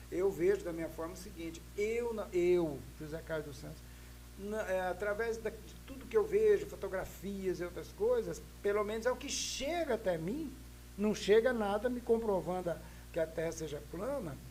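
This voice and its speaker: The man speaks at a moderate pace with big swings in loudness. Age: 60s. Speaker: podcast guest. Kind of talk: casual discussion. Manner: halting, repetitive hesitations.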